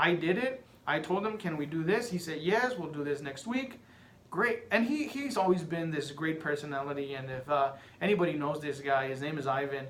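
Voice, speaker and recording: With a Spanish accent and lively intonation, a man talks at a fairly quick pace amid audible room echo and noticeable background noise. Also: fairly high pitch for a man. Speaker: podcaster. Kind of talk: casual monologue.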